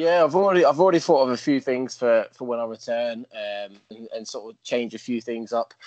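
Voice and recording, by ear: Speaking at a fairly quick pace, a man has a medium pitch, fairly even intonation and a slightly mellow tone.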